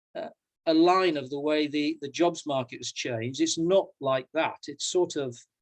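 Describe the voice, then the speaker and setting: A man's fairly high voice in a British accent, at a moderate pace with ordinary pitch variation. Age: 60s. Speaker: professor and coach. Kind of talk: personal talk in an online panel conversation. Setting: video call. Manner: halting, many repetitions.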